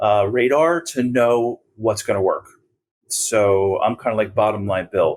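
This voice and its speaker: A man speaks at a fairly slow pace in an ordinary speaking voice, his pitch medium. His pitch varies in an ordinary way, and his loudness stays very even. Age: 60s. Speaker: advertising agency founder. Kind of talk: podcast interview.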